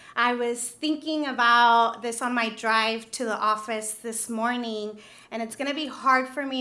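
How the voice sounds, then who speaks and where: With a Spanish accent, the speaker uses a bright, sharp tone and fairly even intonation at a moderate pace, with audible room echo. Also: woman. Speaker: nonprofit CEO, award winner. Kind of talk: acceptance speech. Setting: stage with audience.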